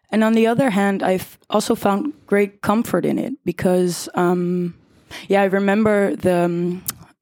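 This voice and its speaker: At a fairly slow pace, a woman with a Dutch accent speaks in a dark, mellow tone at medium pitch, her intonation fairly even, on a very clean recording with a silent background. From Netherlands, The Hague. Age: 20s. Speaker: art school student. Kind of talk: live panel discussion. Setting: theater hall with live audience.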